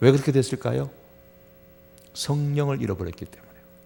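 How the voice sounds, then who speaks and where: A man talks at a very fast pace with a fairly high pitch and very wide pitch swings. His tone is dark and mellow, and somewhat breathy. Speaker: pastor. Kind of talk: sermon. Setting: church, Friday prayer service.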